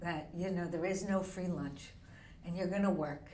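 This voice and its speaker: Over noticeable background noise, a woman with an American accent talks at a medium pitch. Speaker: real estate agent. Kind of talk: podcast interview answer.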